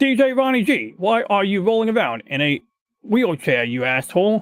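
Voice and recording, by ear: A man puts on a character voice in a British accent, pitched high with very wide swings. His pace is moderate.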